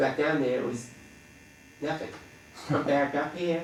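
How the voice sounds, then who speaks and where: With noticeable background noise and audible room echo, a man speaks at a moderate pace and a fairly high pitch. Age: 60s. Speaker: dentist and veteran surfer. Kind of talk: interview reminiscence. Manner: casual with frequent fillers.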